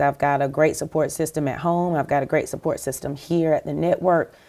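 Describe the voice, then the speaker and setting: A woman with a South Carolina accent speaks at a moderate pace in a very deep, low voice with fairly even intonation, on a very clean recording with a silent background. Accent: Southern US (South Carolina). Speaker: TV network executive. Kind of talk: interview.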